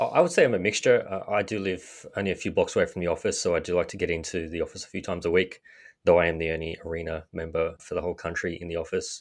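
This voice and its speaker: Speech comes at a very fast pace in an Australian accent. The background is quiet. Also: man. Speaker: sales manager. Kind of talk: casual interview. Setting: remote call.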